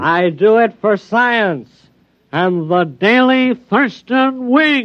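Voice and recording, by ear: A man puts on a character voice, nasal and high-pitched, with lively intonation at a very slow pace. His loudness stays very even throughout.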